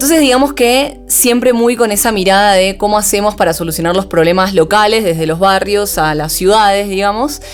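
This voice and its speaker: With an Argentine accent, a woman talks fairly quickly with hardly any pauses and lively intonation while music plays in the background. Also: medium pitch for a woman. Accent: Rioplatense Argentine Spanish. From Argentina, Buenos Aires. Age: 30s. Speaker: startup founder and CEO. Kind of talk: podcast interview.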